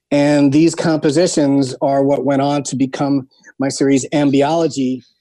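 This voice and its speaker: In an American accent, a man speaks at a moderate pace with a fairly high pitch, a dark, mellow tone and monotone, flat intonation. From New York. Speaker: music producer. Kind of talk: interview.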